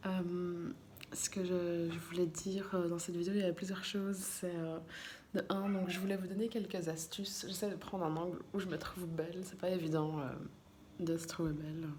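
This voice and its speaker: Soft-spoken and flat in intonation, a woman talks amid noticeable background noise and audible room echo. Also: fairly low pitch for a woman, moderate pace. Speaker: vlogger. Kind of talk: casual vlog talk to camera. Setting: in a car, then at home at night. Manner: halting, many hesitations.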